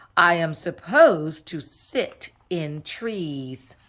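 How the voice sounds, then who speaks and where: In a put-on character voice with a fairly low pitch, a woman speaks at a very slow pace. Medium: read story. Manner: dry, deadpan.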